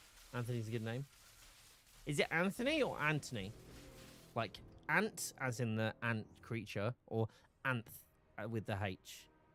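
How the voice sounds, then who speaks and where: With a British accent, a man speaks at a moderate pace in a medium pitch, his tone bright and sharp, his pitch varying in an ordinary way, and his speech broken by long, frequent pauses. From Britain. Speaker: gaming streamer. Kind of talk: live game stream chat. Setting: live stream while gaming. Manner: casual, chatty.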